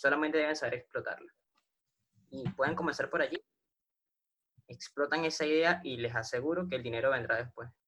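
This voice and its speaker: Someone with a Venezuelan accent speaks at a moderate pace. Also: man. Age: 20s. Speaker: online business affiliate. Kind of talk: interview.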